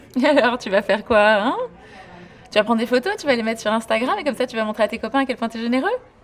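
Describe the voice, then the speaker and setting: Very fast, fairly high female voice with ordinary pitch variation amid noticeable background noise. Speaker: actress. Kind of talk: film and TV drama scenes. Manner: teasing, sarcastic.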